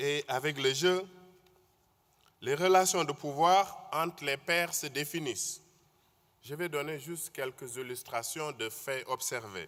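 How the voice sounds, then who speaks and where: A man with a Senegalese accent talks at a very slow pace with long, frequent pauses, using a fairly high pitch and ordinary pitch variation. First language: Wolof (speaking French). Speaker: conference speaker. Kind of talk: conference talk.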